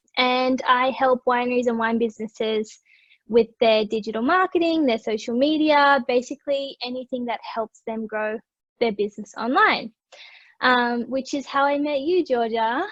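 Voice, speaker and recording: Dry, close sound with no echo, an Australian accent, a moderate pace and ordinary pitch variation. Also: woman, high pitch for a woman. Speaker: digital marketer. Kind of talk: casual chat.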